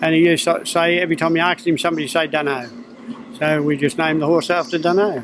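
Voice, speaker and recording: Over noticeable background noise, a man with a strong Australian accent talks very fast with ordinary pitch variation. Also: fairly high pitch for a man, very even loudness. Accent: broad Australian. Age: 70s. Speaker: harness racing trainer. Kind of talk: interview. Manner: casual.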